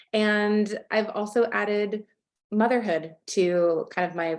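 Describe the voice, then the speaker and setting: A woman speaks in an American accent against a quiet background. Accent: American, noticeable to Australians. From California. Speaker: photographer. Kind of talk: podcast interview.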